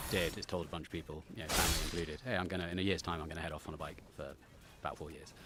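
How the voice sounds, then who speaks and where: A man talks at a very fast pace with a very deep, low pitch and a bright, sharp tone. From southwest England, near Salisbury. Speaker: adventure cyclist and travel writer. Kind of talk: podcast interview. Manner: hesitant, many ums and restarts.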